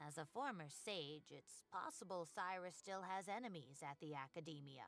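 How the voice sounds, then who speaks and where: Someone uses a put-on character voice at a middle pitch. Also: moderate pace. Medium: video game. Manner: chatty, fretful.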